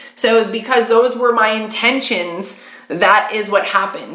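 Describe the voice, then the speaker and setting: A fairly high-pitched woman's voice amid noticeable background noise and audible room echo. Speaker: psychic medium. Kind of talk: live stream card reading. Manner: fast; casual, chatty.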